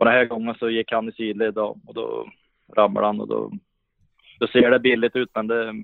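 Monotone, flat intonation at a moderate pace, with long, frequent pauses. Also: man, medium pitch for a man. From Sweden, Värmland (Hagfors). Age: 30s. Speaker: professional ice hockey player. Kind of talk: podcast interview. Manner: halting, many repetitions and fillers.

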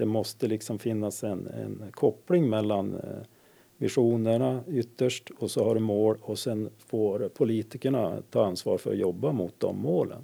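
A man with a slight northern Swedish accent, medium-pitched with a dark, mellow tone, ordinary pitch variation and a fairly slow pace. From inland Västerbotten, Dorotea. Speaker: energy controller. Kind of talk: interview. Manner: hesitant, filler-heavy.

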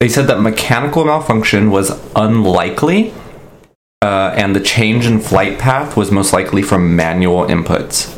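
With lively intonation, a man speaks at a moderate pace in a fairly low voice. His loudness is very even, and the room echo is audible. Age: 20s. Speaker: podcast co-host. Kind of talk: casual storytelling chat.

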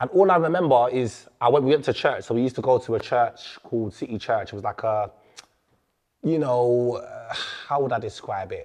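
A man with a London accent speaks at a moderate pace in a medium pitch with ordinary pitch variation. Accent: London multicultural English. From London, England. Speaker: rapper and youth worker. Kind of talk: casual interview. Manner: animated.

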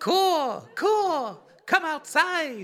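A put-on character voice at a high pitch. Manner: playful, theatrical.

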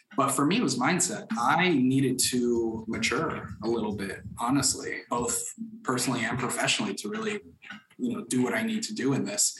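A man's medium-pitched voice with very wide pitch swings at a moderate pace, plus noticeable background noise and audible room echo. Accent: American. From Florida, Orlando. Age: 20s. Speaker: mortgage broker. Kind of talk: interview.

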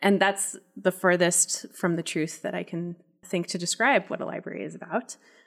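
At a moderate pace, a woman with an American accent speaks in a fairly low voice marked by vocal fry. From Loveland, Colorado, US. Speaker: library consultant. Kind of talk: casual chat. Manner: animated.

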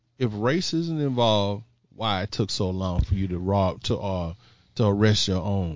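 An unremarkable speaking voice from a man with an American accent, a fairly low pitch, ordinary pitch variation and a moderate pace. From Houston, Texas. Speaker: financial educator, fraternity member. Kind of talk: casual chat. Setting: home, on mics with headsets.

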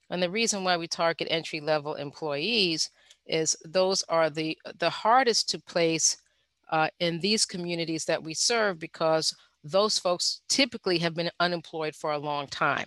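In a normal speaking voice, a woman talks at a moderate pace and fairly low pitch with ordinary pitch variation, the sound dry and close with no echo against a quiet background. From US Northeast, Bronx, New York. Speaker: social entrepreneur. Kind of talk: interview.

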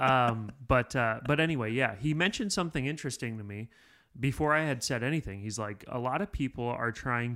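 An ordinary speaking voice from a man at medium pitch, with ordinary pitch variation and a fairly quick pace, on a very clean recording with a silent background. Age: 30s. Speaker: podcast producer. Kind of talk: casual chat. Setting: studio.

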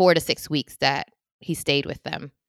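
A woman speaks with a very deep, low pitch and fairly even intonation. She has an American accent. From US, San Francisco Bay Area. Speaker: guest host, sibling of the late father. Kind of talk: casual chat.

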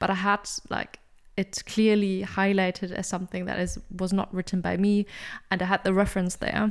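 In a non-native accent, a woman speaks at a moderate pace with flat, monotone intonation. The recording is very clean, with a silent background. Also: medium pitch for a woman. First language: not English. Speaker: podcast co-host, PhD researcher and supervisor. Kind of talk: educational podcast discussion.

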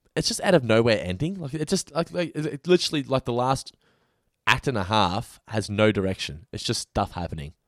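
Speaking at a moderate pace in an Australian accent, a man with a medium pitch makes very wide pitch swings, recorded with a dry, close sound and no echo. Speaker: podcast co-host reviewing TV episodes. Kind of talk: casual chat. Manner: puts on a radio voice.

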